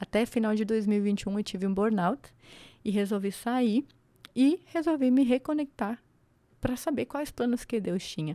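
A woman with a fairly high pitch and a dark, mellow tone talks at a fairly slow pace with ordinary pitch variation, in a very clean recording with a silent background and a dry, close sound with no echo. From Santa Catarina, Brazil (Serra, near Lages). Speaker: construction entrepreneur and mentor. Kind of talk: podcast interview.

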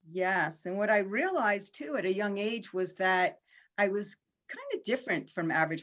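A woman with an American accent speaks at a medium pitch and a moderate pace. Hers is an unremarkable speaking voice. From Pennsylvania, Harrisburg. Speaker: life coach. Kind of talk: casual interview.

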